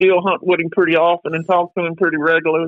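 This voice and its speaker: This man talks at a very fast pace in a high pitch. His intonation is monotone and flat. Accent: American. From Detroit, Michigan, US Midwest. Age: 60s. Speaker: coon hunter. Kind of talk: podcast interview. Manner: halting, repeats words.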